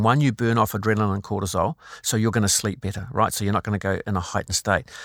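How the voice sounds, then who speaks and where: In a very clean recording with a silent background, a man with a New Zealand accent speaks at a fairly low pitch. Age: 60s. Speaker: former police crisis negotiator, well-being speaker. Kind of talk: interview.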